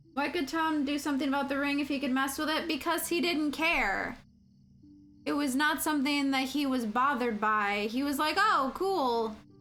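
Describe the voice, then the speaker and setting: Her voice high-pitched with a bright, sharp tone, a woman speaks at a moderate pace with audible room echo. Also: ordinary pitch variation, very even loudness. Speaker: video game streamer. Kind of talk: casual chat. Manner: loud.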